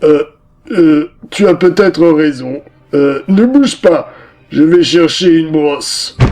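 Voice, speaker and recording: Putting on a character voice, a man talks fairly slowly at a fairly high pitch, with long, frequent pauses. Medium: read story. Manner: slow, hesitant, with many "euh".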